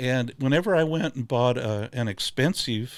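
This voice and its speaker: With an ordinary amount of pitch variation, a speaker in a US Midwestern accent comes through on a very clean recording with a silent background. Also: man. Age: 70s. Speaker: glassware maker. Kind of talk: casual chat.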